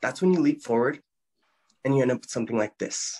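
A man at a fairly quick pace, with a quiet background. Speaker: actor doing a self-tape audition. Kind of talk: audition slate and performed monologues. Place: home room. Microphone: phone near.

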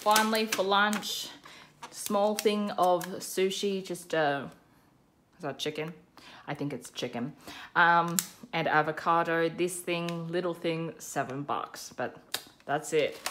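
Very slow speech from a woman at a fairly low pitch, long, frequent pauses, and noticeable background noise. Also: ordinary pitch variation. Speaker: budget vlogger. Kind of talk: casual vlog chat. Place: home room.

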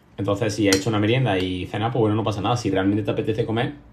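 Noticeable background noise fills the clip. This man rattles off his words very fast. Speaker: streamer. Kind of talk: casual livestream chat answering viewers. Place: home room. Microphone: phone near.

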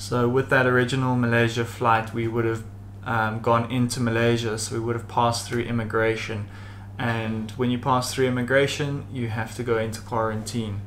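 Flat and monotone, a man's medium-pitched voice moves at a moderate pace over noticeable background noise. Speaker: travel vlogger. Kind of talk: casual vlog talk.

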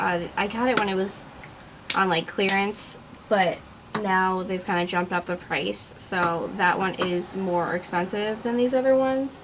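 Noticeable background noise sits behind the voice. A woman talks fairly slowly, her pitch varying in an ordinary way. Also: medium pitch for a woman. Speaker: beauty vlogger. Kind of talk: casual talk to camera.

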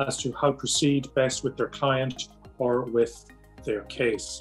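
A man with an Irish accent, faint music in the background. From Ireland. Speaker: psychiatrist. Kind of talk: promotional self-introduction. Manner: formal. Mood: calm, measured, formal. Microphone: webcam.

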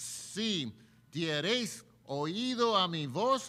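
At a very slow pace, a man speaks in a raised, projected voice with a high pitch. His tone is bright and sharp, with very wide pitch swings. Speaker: preacher. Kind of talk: sermon. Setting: church. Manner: earnest, preaching cadence. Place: church. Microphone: podium.

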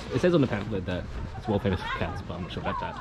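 A man's voice over loud background noise. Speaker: travel vlogger. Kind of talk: casual vlog chat. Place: open country. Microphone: phone near.

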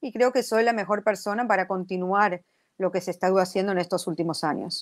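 Against a quiet background, a woman speaks fairly quickly at a medium pitch with ordinary pitch variation. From Argentina, Buenos Aires. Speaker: city council member, mayoral candidate; candidate. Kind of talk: radio interview. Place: home room.

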